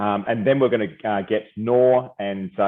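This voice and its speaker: A man speaks with an Australian accent. His pitch is fairly low and his intonation fairly even. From Australia, Perth. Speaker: company founder and CEO presenting. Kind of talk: webinar presentation. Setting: video call. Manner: hesitant, many fillers.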